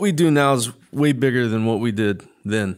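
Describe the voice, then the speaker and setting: Here is a man with a plain, everyday voice, medium pitch and ordinary pitch variation. The recording is very clean, and the background is silent. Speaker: podcast host and Marine veteran. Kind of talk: casual interview.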